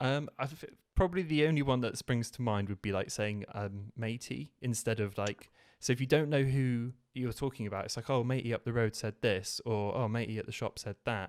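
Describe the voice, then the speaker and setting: A man with an English accent speaks at a fairly quick pace and medium pitch with ordinary pitch variation, on a very clean recording with a silent background and a dry, close sound with no echo. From southwest England. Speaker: tech YouTuber. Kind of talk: casual chat.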